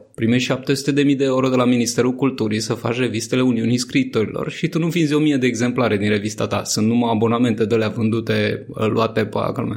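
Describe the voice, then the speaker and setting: A man with a plain, everyday voice speaks at a fairly quick pace in a medium pitch. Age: 30s. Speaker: journalist and satirical writer. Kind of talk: casual interview.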